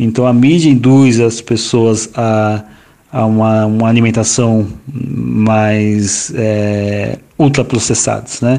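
Very slowly and at medium pitch, a man speaks with fairly even intonation and very even loudness over noticeable background noise. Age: 40s. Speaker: environmental manager and geographer, urban garden project founder. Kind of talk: interview. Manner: halting, many fillers.

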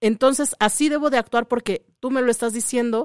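On a very clean recording with a silent background and a dry, close sound with no echo, a woman with a fairly high pitch speaks at a moderate pace with ordinary pitch variation in an unremarkable speaking voice. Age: 30s. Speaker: radio host. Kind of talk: casual chat.

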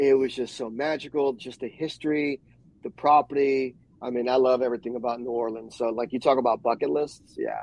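A man talks in an American accent at a fairly quick pace. His intonation is monotone and flat. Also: medium pitch for a man. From New York. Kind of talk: casual chat. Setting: live video stream.

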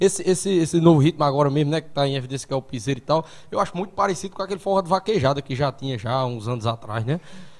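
A man with a Paraíba accent talks very fast in a fairly high pitch, his intonation lively and his voice somewhat breathy. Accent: Northeastern Brazilian (Paraíba). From Sumé, Paraíba, Brazil. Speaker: podcast host. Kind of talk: casual chat, live-streamed podcast interview. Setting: live stream, studio.

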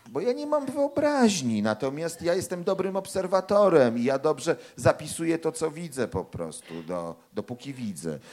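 The speaker is a man, at a moderate pace. There are hardly any pauses. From Poland, Warsaw. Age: 40s. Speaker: crime novelist and anthropology professor. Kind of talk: author talk with audience.

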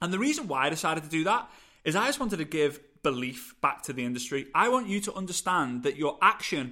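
A man with a British accent talks at a very fast pace, with a fairly high pitch, a bright, sharp, animated and passionate tone, and lively intonation. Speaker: podcast host, network marketing coach. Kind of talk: solo podcast monologue, motivational. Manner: animated, fast, passionate; energetic, gesturing.

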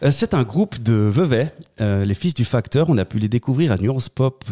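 A man's dark, mellow tone in a dry, close sound with no echo. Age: 30s. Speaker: political candidate. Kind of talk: interview.

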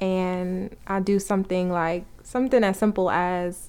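In a very clean recording with a silent background, a woman with an American accent speaks at a medium pitch with fairly even intonation. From New York. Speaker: couple podcast co-host. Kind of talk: casual chat. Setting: home recording, sitting in front of the mic.

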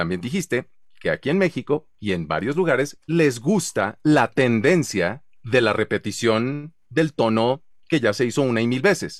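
A man's medium-pitched voice with a Mexican accent, animated in tone and fairly slow, with very wide pitch swings and a dry, close sound with no echo. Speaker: voice-over artist and show host. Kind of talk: casual chat.

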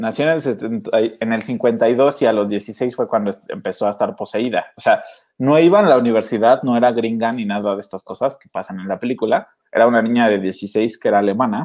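A man with a Mexican accent speaks at a medium pitch with ordinary pitch variation. His loudness swings a lot against a quiet background. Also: moderate pace. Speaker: podcast host. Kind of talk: casual chat.

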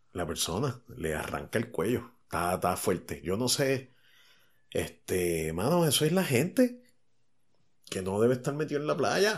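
A man at medium pitch with a Puerto Rican accent, fairly slow, with very wide pitch swings, on a very clean recording with a silent background. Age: 40s. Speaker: podcast host. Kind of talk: casual chat.

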